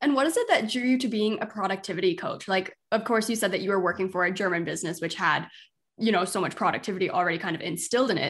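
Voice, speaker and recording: This is a woman at a medium pitch. Her pitch variation is ordinary. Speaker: podcast host and business coach. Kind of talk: casual interview.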